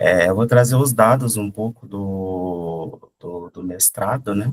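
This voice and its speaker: A man's fairly low voice at a very slow pace, with big swings in loudness, ordinary pitch variation, and a dry, close sound with no echo. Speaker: doctoral researcher presenting at a conference. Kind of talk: academic presentation. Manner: hesitant, many fillers.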